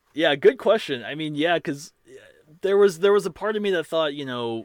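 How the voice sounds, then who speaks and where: A man speaks at a fairly quick pace with an American accent. He has a normal speaking voice. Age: 30s. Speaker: musician. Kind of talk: interview. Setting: video call.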